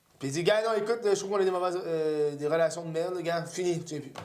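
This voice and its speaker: A man talks in a high voice, and room echo is audible around him. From Quebec. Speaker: comedian and podcast host. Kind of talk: casual chat. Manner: animated.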